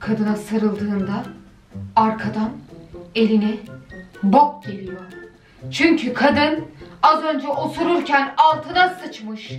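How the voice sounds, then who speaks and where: Clear music plays behind a woman who speaks very slowly with long, frequent pauses, her voice carrying an audible room echo. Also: big swings in loudness. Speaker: reaction video host. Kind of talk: casual commentary. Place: home room.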